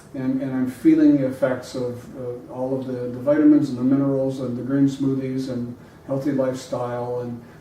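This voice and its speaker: Speaking at a moderate pace with hardly any pauses, a man uses a medium pitch and a monotone, flat intonation. Noticeable background noise and audible room echo are present. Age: 60s. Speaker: podcast guest, health enthusiast. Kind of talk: casual conversation. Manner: halting, with many fillers.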